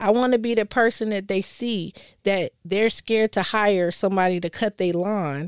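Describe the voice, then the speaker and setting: A woman's medium-pitched voice with fairly even intonation, in a dry, close sound with no echo on a very clean recording with a silent background. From Colorado. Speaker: small business owner, caterer. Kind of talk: casual discussion. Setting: studio.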